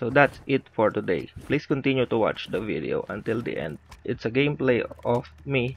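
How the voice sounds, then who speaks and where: This man's voice has vocal fry and ordinary pitch variation. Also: medium pitch for a man, moderate pace. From Philippines. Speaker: gaming YouTuber. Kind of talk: gaming news video.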